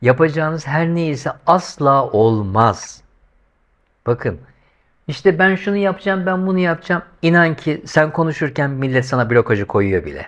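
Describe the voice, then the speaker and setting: With an animated tone and lively intonation, a man speaks at a moderate pace and a fairly high pitch against a quiet background. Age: 50s. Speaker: YouTuber. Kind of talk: monologue vlog commentary. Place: home room. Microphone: lapel.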